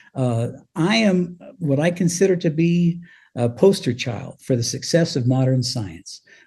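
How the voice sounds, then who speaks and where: With a General American accent, a man speaks at a fairly high pitch in a dark, mellow, somewhat breathy tone and lively intonation. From Colorado. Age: 70s. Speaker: former radio DJ and author. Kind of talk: interview.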